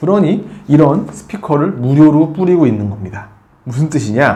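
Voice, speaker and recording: At a moderate pace, a fairly high-pitched man talks with very wide pitch swings. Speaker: tech reviewer. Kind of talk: product review. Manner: conversational with fillers.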